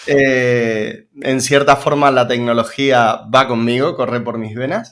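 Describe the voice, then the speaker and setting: A man with an Argentine accent talks at a very slow pace, his medium-pitched voice fairly even in intonation. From Argentina, Mar del Plata. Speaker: web developer and teacher. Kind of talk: interview.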